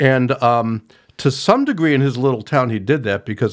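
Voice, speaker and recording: A man with an ordinary speaking voice, ordinary pitch variation and a fairly quick pace, in a very clean recording with a silent background. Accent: American. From rural Ohio. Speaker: author. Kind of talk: casual interview.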